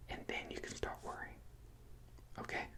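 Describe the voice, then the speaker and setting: A man whispering in a calm tone over noticeable background noise. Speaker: ASMR creator. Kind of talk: comforting ASMR roleplay, personal attention advice. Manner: soft-spoken, reassuring, calm.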